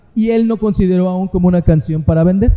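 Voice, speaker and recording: A high-pitched man speaks at a fairly quick pace. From Mexico City (Azcapotzalco). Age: 50s. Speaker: rock singer. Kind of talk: casual interview. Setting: live event venue.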